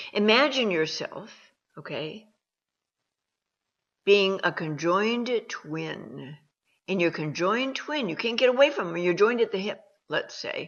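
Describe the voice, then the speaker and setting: A woman speaks at a fairly slow pace and a medium pitch, with long, frequent pauses. Her pitch swings very widely and her loudness shifts in big swings. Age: 60s. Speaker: self-help advisor. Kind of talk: advice monologue. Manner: animated.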